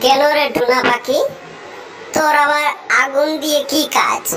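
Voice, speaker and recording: A woman does a cartoonish character voice at a fairly slow pace. Clear background noise can be heard. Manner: menacing.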